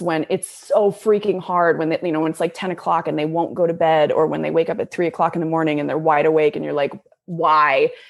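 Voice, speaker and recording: The speaker has a normal speaking voice with an American accent and ordinary pitch variation. The background is quiet. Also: woman. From Atlanta, Georgia, US South. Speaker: TV and film actress. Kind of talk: casual interview chat.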